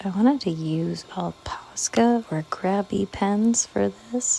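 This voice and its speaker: A soft-spoken woman at a very slow pace with ordinary pitch variation, over noticeable background noise. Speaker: artist and video creator. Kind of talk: casual ASMR-style art narration. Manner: quiet, soft-spoken; hesitant, many fillers.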